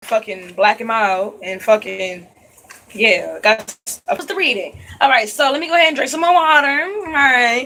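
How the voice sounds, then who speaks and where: A woman speaks at a moderate pace with a high pitch. Her voice is raised and projected. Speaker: psychic reader. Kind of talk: spiritual reading vlog. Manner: casual, conversational.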